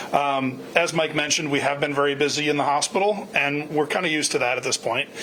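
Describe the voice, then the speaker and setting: The speech moves at a fairly quick pace with fairly even intonation. Noticeable background noise is present. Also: man. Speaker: hospital medical director. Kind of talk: town hall address. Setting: virtual town hall. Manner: loud.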